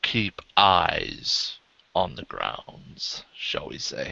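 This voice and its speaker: A man puts on a character voice and talks at a very slow pace. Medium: actual play. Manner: polite, genteel.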